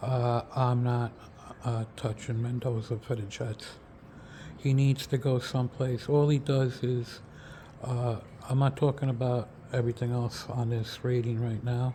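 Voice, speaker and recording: A man's medium-pitched voice, dark and mellow, somewhat breathy, with a flat, monotone delivery at a fairly slow pace. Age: 60s. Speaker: football draft analyst. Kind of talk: casual video commentary. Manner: halting, many fillers and repeats.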